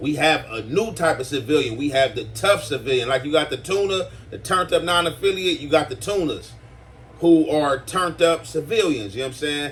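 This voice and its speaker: Lively intonation moves along at a fairly quick pace against noticeable background noise. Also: man, fairly high pitch for a man. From US West Coast. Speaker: YouTube commentator. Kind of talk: casual commentary. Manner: hesitant, filler-heavy.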